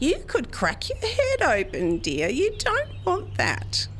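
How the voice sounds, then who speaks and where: Putting on a character voice, a woman speaks at a fairly slow pace over clear background noise. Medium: audio drama. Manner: sweet, condescending.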